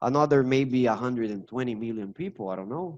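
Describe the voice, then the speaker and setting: Here a man speaks with a Brazilian Portuguese accent. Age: 30s. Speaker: English teacher. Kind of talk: casual interview chat. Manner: halting, repeats words.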